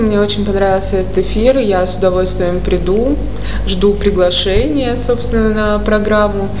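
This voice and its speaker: Noticeable background noise sits under the voice. A woman talks at a moderate pace. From Saratov, Russia. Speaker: painter. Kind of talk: casual radio interview.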